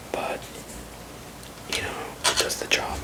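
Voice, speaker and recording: A man whispers in a relaxed tone. Noticeable background noise can be heard behind him. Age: 30s. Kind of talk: ASMR barber roleplay, casual talk to the listener. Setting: close-up whisper/ASMR recording at home. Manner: soft-spoken, relaxed, rambling.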